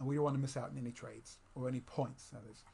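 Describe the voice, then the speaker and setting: At a fairly quick pace, a man speaks at medium pitch, somewhat breathy, in a monotone, flat intonation. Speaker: trading course instructor. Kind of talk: screen-recorded tutorial. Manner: fast; halting, many fillers and restarts.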